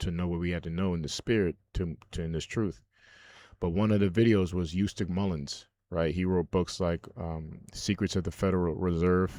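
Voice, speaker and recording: In a Haitian accent, a man speaks with a dark, mellow tone and fairly even intonation. The recording is very clean, with a silent background. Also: moderate pace. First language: Haitian Creole. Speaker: religious video commentator. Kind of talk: casual monologue. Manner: halting.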